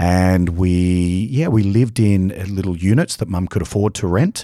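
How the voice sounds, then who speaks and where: A man's dark, mellow tone, with ordinary pitch variation, comes through on a very clean recording against a silent background. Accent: Australian. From Australia (Adelaide). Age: 50s. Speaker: bodybuilder and supplement company founder. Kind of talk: interview.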